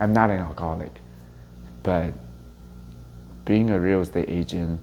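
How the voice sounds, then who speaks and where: Fairly even in intonation, a man with a very deep, low pitch speaks at a moderate pace. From Taiwan (Taipei), moved to US at 13. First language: Mandarin Chinese. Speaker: real estate agent leader. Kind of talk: interview testimony.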